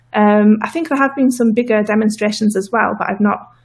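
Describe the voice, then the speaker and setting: Somewhat breathy, a woman rushes along at a very fast pace with a fairly high pitch. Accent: northern English. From northern England. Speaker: political activist guest. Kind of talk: interview. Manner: hesitant, many fillers.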